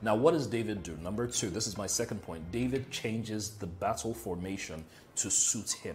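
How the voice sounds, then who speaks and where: Somewhat breathy, a man speaks at a moderate pace with lively intonation over light background noise. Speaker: motivational speaker. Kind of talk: motivational talk. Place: home room. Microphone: lapel.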